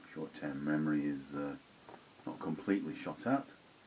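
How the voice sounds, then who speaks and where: A man speaks fairly slowly while light noise sits in the background. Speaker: beer reviewer. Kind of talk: casual vlog chat. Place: home room. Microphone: phone near.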